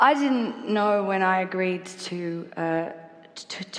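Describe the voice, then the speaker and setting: Noticeable background noise accompanies a woman who speaks in an Australian accent at a medium pitch. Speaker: singer. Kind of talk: public talk on stage. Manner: stuttering.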